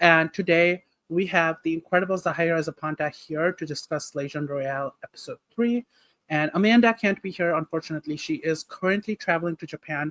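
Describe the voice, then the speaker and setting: A non-native accent at a moderate pace. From Nepal. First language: not English. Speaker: podcast co-host. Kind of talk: casual chat.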